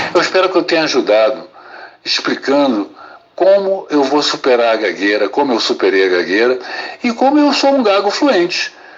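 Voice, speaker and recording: The voice moves through very wide pitch swings. Noticeable background noise sits behind it. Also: man. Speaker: psychiatrist. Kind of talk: testimony. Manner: slow, paced.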